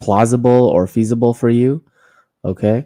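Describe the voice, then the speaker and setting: A man with a Canadian accent and a dark, mellow tone, on a very clean recording with a silent background and a dry, close sound with no echo. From Canada, Toronto. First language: Korean. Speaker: political commentary streamer. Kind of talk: livestream commentary. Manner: casual, filler-heavy.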